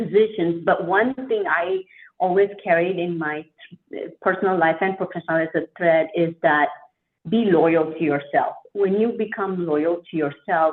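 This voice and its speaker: In a fairly low pitch, a woman speaks with a non-native accent. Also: ordinary pitch variation, moderate pace. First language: not English. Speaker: franchise owner. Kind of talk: interview.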